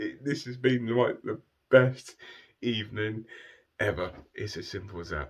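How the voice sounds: A croaky, put-on character voice moves at a moderate pace with lively intonation. Long pauses come often. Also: man, medium pitch for a man.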